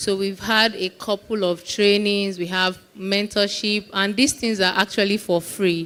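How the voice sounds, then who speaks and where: Speaking in a medium pitch with monotone, flat intonation, a woman talks with hardly any pauses. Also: fairly slow pace. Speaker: community founder speaking at tech event. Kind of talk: conference talk to live audience. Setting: stage with live audience. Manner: soft-spoken.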